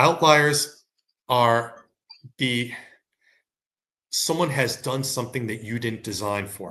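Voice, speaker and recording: A man speaks at a medium pitch with ordinary pitch variation and a bright, sharp tone. His loudness swings widely, and he leaves long, frequent pauses. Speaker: sales compensation consultant. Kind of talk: webcast presentation. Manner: fast; animated.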